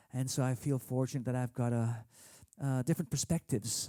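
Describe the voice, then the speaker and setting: Dry and close with no echo, a man's voice sits at medium pitch with a dark, mellow tone. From Philippines. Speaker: singer-songwriter. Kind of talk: casual talk to camera. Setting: at home. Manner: halting, many fillers.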